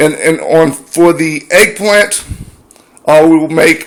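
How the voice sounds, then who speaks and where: A man's fairly high voice at a very slow pace. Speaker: home cook video maker. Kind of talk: cooking tutorial. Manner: halting.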